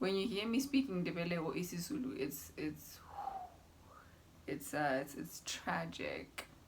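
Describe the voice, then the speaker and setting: Against noticeable background noise, a woman speaks at a fairly slow pace with long, frequent pauses. Her fairly low pitch makes very wide swings. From Zimbabwe, Masvingo. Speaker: YouTuber. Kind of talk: casual vlog. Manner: animated.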